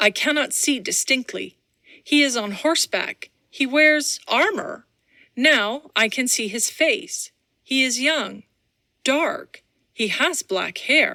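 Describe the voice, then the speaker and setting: Putting on a character voice, a woman talks fairly slowly in a high register. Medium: read story. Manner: intense, archaic speech.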